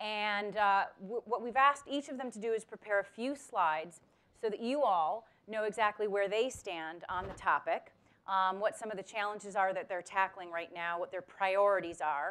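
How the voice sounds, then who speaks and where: Moderate pace and ordinary pitch movement from a woman. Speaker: panel moderator. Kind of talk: event introduction. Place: hall.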